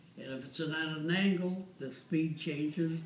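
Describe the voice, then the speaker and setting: In a room with audible echo, a man talks at a fairly slow pace. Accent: American. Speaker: war veteran. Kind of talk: casual chat. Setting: waiting room. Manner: halting.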